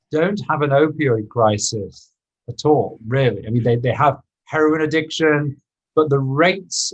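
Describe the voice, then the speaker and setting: Speaking slowly, though not very slowly, a man with a British accent sounds somewhat breathy, with ordinary pitch variation. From UK. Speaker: inventor and former surgeon. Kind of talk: podcast interview.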